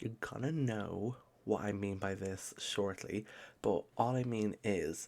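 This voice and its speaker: Soft-spoken with ordinary pitch variation, the voice comes through a very clean recording with a silent background. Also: man. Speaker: maths tutor. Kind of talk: tutorial. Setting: home recording at midnight.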